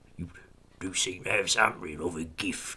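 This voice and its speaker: A man puts on a raspy character voice at a very deep, low pitch. He keeps a moderate pace. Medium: read story. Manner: smooth, amused, commanding.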